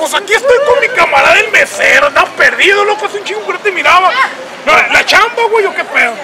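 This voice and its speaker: A man talking at a very fast pace against loud background noise. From Mexico, Sinaloa (Guasave). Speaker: convention emcee and YouTuber. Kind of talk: casual roaming interviews. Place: street. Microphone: handheld.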